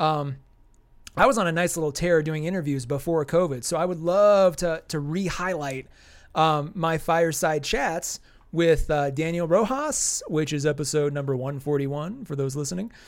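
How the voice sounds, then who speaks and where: A man talks at a moderate pace in a fairly high voice with ordinary pitch variation. It is an unremarkable speaking voice, on a very clean recording with a silent background. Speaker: podcast co-host. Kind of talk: casual chat.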